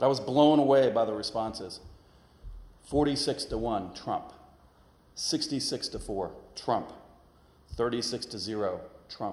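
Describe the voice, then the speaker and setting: With an American accent, a man speaks with ordinary pitch variation in a space with audible room echo. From northern Kentucky, US. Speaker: guest preacher, former politician. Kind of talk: sermon. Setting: church.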